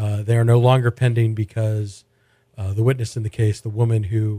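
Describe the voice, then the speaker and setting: At a moderate pace, a man speaks in a medium-pitched, somewhat breathy voice with a dark, mellow tone and monotone, flat intonation. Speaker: podcast host and food editor. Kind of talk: casual interview chat. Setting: studio.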